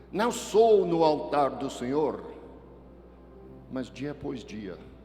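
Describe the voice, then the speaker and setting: Amid noticeable background noise and audible room echo, a man speaks very slowly with lively intonation. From Texas. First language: English (speaking Portuguese). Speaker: pastor. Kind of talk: sermon. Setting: church with congregation.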